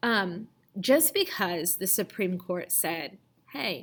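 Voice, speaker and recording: Heard in a very clean recording against a silent background, a plain, everyday voice carries lively intonation. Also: woman. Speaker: teacher. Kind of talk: lecture. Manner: casual, many fillers.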